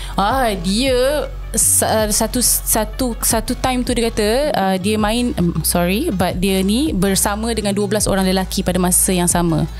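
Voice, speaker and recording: With faint music in the background, a woman with a Malaysian accent speaks at a fairly slow pace, her loudness very even and her pitch varying in an ordinary way. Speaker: voice-over artist and TV host; former broadcast journalist. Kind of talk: podcast interview answer. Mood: serious, telling a story. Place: studio. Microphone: studio mic.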